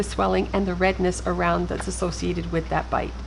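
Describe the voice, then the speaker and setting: Noticeable background noise runs beneath this woman's voice. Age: 60s. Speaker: travel vlogger. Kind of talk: tutorial.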